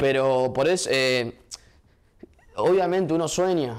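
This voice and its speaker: A man with a plain, everyday voice talks at medium pitch with ordinary pitch variation against a quiet background. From Argentina, Viedma (Río Negro); Argentina. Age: 20s. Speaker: mayoral candidate, politician; candidate. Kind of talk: interview. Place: studio.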